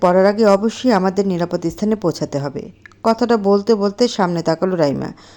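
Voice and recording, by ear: This is someone reading aloud in a natural voice. The pitch variation is ordinary.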